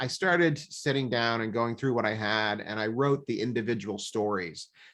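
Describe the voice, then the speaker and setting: Against a quiet background, the speaker uses ordinary pitch variation with a Midwestern American accent. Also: man. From Nebraska. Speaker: leadership author and coach. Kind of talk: podcast interview answer. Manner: casual, hesitant with fillers.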